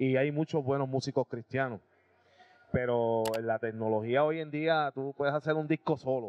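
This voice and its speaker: A man talks in a normal speaking voice at medium pitch and a moderate pace, with fairly even intonation. The sound is dry with no echo, over light background noise. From Puerto Rico, Aibonito; Puerto Rico. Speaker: rock band drummer and singer; guest. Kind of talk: casual interview. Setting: restaurant. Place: cafe. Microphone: handheld.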